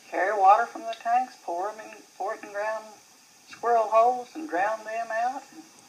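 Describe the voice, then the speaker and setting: Over noticeable background noise, a woman with a fairly high pitch talks with big swings in loudness. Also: ordinary pitch variation, moderate pace. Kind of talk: interview answer, family reminiscence.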